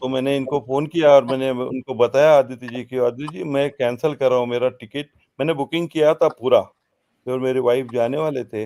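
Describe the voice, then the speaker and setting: A man speaks at a medium pitch with a dark, mellow tone, in a dry, close recording with no echo. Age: 70s. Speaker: businessman, festival speaker. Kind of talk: speech at literary festival. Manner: hesitant, many filler pauses.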